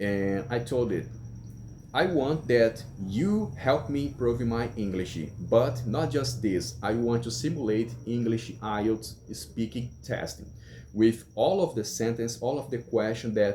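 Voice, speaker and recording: Speaking fairly slowly with a Brazilian Portuguese accent, a man uses a medium pitch, ordinary pitch variation, vocal fry and a dark, mellow tone. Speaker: English learner vlogger. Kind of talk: casual vlog monologue. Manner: halting.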